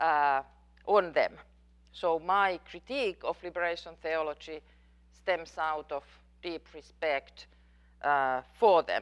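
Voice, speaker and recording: In a Finnish accent, a woman speaks at a very slow pace with long, frequent pauses. Her pitch is fairly low, with ordinary variation. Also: quiet background. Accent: Finnish accent, noticeable. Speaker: professor. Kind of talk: lecture Q&A. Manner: halting, with fillers.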